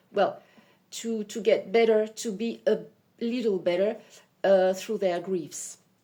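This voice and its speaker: Fairly slow, fairly even speech with long, frequent pauses over music in the background. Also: woman, fairly high pitch for a woman. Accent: French. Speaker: psychic medium. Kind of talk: self-introduction video. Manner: halting; hesitant, many fillers.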